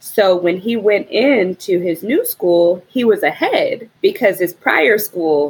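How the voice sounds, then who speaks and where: Using an unremarkable speaking voice, a woman talks with lively intonation at a medium pitch. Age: 30s. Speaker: parent of two, host's sister. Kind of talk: casual chat.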